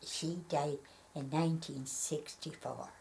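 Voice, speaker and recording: In an Irish accent, a woman talks at a very deep, low pitch, somewhat breathy and in a monotone, flat intonation. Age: 90s. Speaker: elderly local interviewee. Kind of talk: reading aloud; oral history interview. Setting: at her home. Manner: halting.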